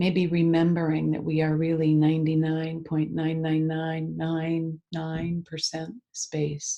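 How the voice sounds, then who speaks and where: Soft-spoken and fairly slow, a woman talks in a very deep, low voice with a dark, mellow tone against a quiet background. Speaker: EFT tapping practitioner. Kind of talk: guided meditation. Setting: video call.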